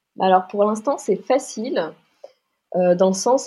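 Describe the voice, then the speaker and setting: Her voice is fairly high and somewhat breathy. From Paris, France. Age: 20s. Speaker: fashion designer and leather goods entrepreneur. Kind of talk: podcast interview. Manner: hesitant, many fillers and repetitions.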